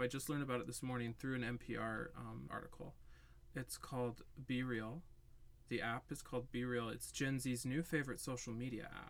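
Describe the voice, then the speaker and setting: A man talks at a fairly quick pace. He has a normal speaking voice at medium pitch. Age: 20s. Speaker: podcast co-host. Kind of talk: casual chat.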